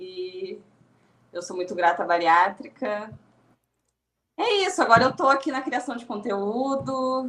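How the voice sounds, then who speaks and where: A woman with a Rio Grande do Sul accent, fairly high-pitched and fairly slow, with very wide pitch swings, big swings in loudness, and long, frequent pauses. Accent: gaúcho (Rio Grande do Sul). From southern Brazil (Rio Grande do Sul). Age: 30s. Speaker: podcast guest, content creator. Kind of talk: podcast interview.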